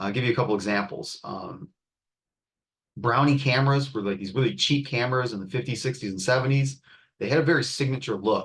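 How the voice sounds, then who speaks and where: Medium pitch, moderate pace and ordinary pitch variation from a man with a plain, everyday voice. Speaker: art and design instructor. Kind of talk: class tutorial demo.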